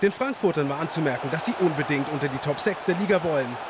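A man with an energetic tone and lively intonation, crowd noise in the background. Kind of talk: sports commentary recap. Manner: brisk, energetic, narrating play-by-play in past tense.

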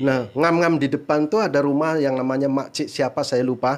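A man's fairly high-pitched voice, an unremarkable speaking voice, with ordinary pitch variation and a moderate pace. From Indonesia. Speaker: migrant worker and YouTuber. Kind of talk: casual interview.

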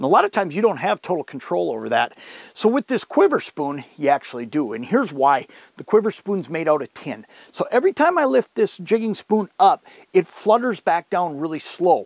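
A man's voice makes very wide pitch swings against a quiet background. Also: dry sound with no echo. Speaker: fishing show host. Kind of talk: tutorial. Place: tent.

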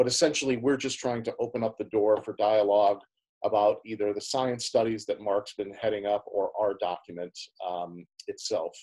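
Over a quiet background, a man with a fairly low pitch and a dark, mellow tone talks at a moderate pace with ordinary pitch variation. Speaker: forum moderator. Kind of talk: online panel discussion. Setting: video call. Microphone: video call.

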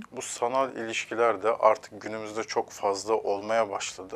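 Speaking fairly slowly, a man delivers his words. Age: 30s. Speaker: relationship counselor; guest. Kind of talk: TV interview; interview answer. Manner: hesitant with filler sounds. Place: studio. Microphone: lapel.

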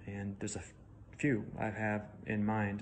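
Someone with an American accent speaks over light background noise. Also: man. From US Midwest (Chicago). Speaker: museum curator. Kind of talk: Q&A monologue for social media. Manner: hesitant with frequent fillers. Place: home room. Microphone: phone near.

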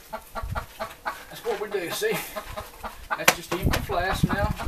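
Loud background noise surrounds a man speaking at a very slow pace. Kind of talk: tutorial. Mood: jokey, relaxed. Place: garage.

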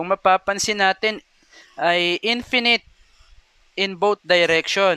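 A man's raised, projected voice at a very slow pace with ordinary pitch variation. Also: dry, close sound with no echo. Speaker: math teacher. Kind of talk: lecture. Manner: frequent hesitations.

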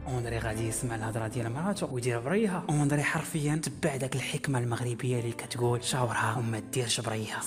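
Music plays in the background while a man talks at a fairly quick pace with hardly any pauses. His pitch is medium, with ordinary pitch variation. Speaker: YouTube storyteller. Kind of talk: casual storytelling to camera.

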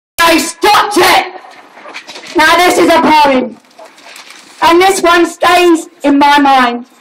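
Over noticeable background noise, a woman speaks at an extremely high pitch and a very slow pace, with long, frequent pauses, very even loudness and ordinary pitch variation. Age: 50s. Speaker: animal rights protester. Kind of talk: protest speech. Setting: outdoor rally with crowd. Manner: animated.

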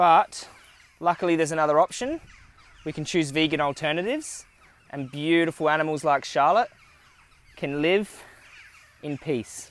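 A man speaks at a moderate pace with ordinary pitch variation and long, frequent pauses, the sound dry with no echo. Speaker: vlogger. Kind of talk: casual vlog chat. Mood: gentle, earnest, then indignant. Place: farm.

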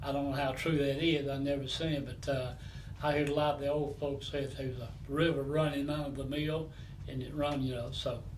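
Over light background noise, a man with a Southern US accent talks at a fairly quick pace in a fairly high pitch with monotone, flat intonation. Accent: Southern US (Georgia). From Atlanta, Georgia, US South; Georgia. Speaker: longtime neighborhood resident, former mill worker; interviewee. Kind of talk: oral history interview; interview answer. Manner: halting. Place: home room.

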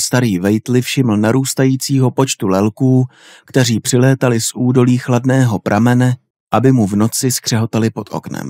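Dry and close with no echo, a man with an ordinary speaking voice talks at a medium pitch with fairly even intonation. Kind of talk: horror audiobook reading, scripted narration of a Lovecraft story. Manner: slow, atmospheric, ominous narration with creeping dread.

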